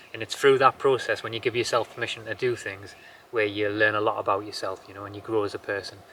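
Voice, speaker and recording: In a Geordie accent, a man speaks with monotone, flat intonation and big swings in loudness. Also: medium pitch for a man. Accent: Geordie, slowed down for camera. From northern England, Newcastle area. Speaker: homesteader vlogger. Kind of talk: casual vlog chat. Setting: outdoors at sunset, homestead.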